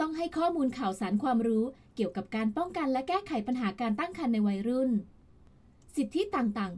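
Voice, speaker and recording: Her pitch is high and swings very widely, while this woman's loudness stays very even. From Thailand. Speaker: voice actress. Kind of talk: public information narration. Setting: home studio.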